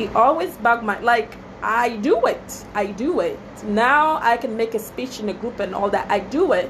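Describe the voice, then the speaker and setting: A woman talks at a moderate pace. The room echo is audible and there is noticeable background noise. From Togo, West Africa. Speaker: small business owner, wedding planner. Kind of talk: casual Facebook live talk. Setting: Facebook live video. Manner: chatty, many fillers.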